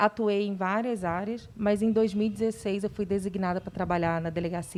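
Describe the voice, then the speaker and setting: A woman's dark, mellow voice at medium pitch, fairly quick, with ordinary pitch variation and a Rio de Janeiro accent. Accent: carioca (Rio de Janeiro). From Rio de Janeiro, Brazil. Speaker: police chief. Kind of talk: talk show interview.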